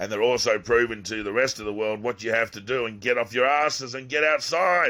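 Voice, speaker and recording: Speaking with an Australian accent, a man uses a bright, sharp, medium-pitched voice with ordinary pitch variation at a fairly quick pace. He leaves hardly any pauses, and the very clean recording has a silent background. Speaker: YouTuber. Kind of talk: video monologue. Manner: animated.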